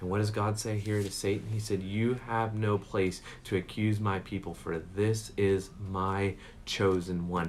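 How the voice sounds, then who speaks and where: Audible room echo is present. The speech is fairly slow, with monotone, flat intonation. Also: man. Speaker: pastor. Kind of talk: sermon.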